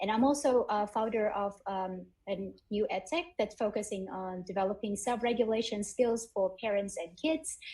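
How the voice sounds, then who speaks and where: A woman speaks with a Vietnamese accent in a somewhat breathy voice with a dark, mellow tone. Her pitch varies in an ordinary way, and her pace is moderate. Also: fairly high pitch for a woman. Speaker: edtech founder and graduate student. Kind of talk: panel discussion.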